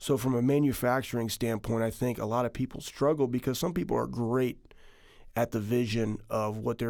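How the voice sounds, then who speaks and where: A man with an American accent, medium pitch and fairly even intonation at a fairly quick pace, an ordinary speaking voice on a very clean recording with a silent background. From Texas. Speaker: company founder and former football player. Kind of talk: interview.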